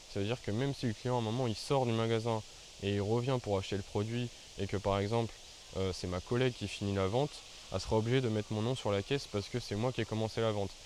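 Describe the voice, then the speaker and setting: A man speaks very fast. His intonation stays fairly even. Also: medium pitch for a man. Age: 20s. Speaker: YouTuber. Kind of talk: storytelling vlog. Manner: casual, hesitant with fillers.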